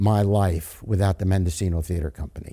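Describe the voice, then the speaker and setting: A dark, mellow tone with an American accent. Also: man. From New York. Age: 80s+. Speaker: community theater actor and director. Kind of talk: casual interview. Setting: inside a theater. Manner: halting, with many repeated words.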